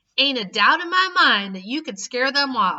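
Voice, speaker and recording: A woman's high, put-on character voice at a moderate pace. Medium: read story. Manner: blunt, bossy.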